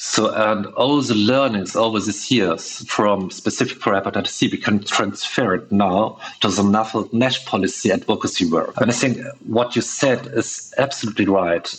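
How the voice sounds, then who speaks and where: A man at medium pitch with a German accent, moderate pace, fairly even intonation and very even loudness, over noticeable background noise. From Germany. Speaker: patient advocate. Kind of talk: podcast interview.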